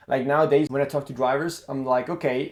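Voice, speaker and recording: With an Italian accent, a man speaks at a fairly quick pace and a medium pitch with fairly even intonation. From Italy. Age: 20s. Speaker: karting coach and former racing driver. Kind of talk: casual monologue to camera. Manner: halting, many fillers and restarts.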